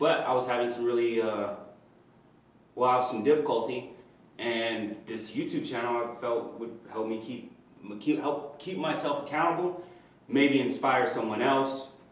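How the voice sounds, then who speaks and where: A man with an American accent talks at a moderate pace with ordinary pitch variation and long, frequent pauses. Audible room echo and noticeable background noise fill the recording. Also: medium pitch for a man. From Indiana. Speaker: personal trainer and vlogger. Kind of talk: personal vlog monologue. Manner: hesitant, many fillers.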